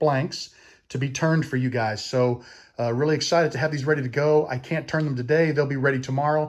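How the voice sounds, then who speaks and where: Here a man speaks with an American accent and an enthusiastic tone at a fairly quick pace. His voice is fairly high, on a very clean recording with a silent background. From US Midwest. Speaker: woodturning YouTuber. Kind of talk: casual vlog show-and-tell. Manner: fast talker.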